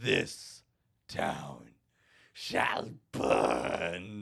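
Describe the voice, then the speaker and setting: In a put-on character voice, a man sounds raspy with a very deep, low pitch. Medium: actual play. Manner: menacing, gleeful.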